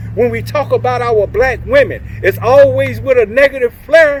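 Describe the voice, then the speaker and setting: Over noticeable background noise, a man speaks fairly slowly. He has an American accent. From Oklahoma City, US. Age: 60s. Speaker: community speaker, former prisoner. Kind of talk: motivational talk. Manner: animated.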